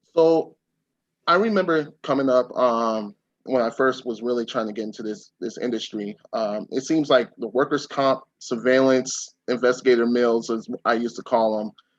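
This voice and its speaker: Moderately paced speech from a man in a plain, everyday voice, medium in pitch and ordinary in its pitch variation. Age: 30s. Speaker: private investigator. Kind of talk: webinar interview.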